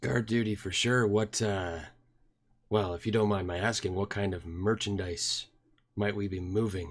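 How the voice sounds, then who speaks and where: A man uses a put-on character voice that is raspy and fairly low in pitch. He keeps a moderate pace and fairly even intonation. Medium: actual play. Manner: calm, confident.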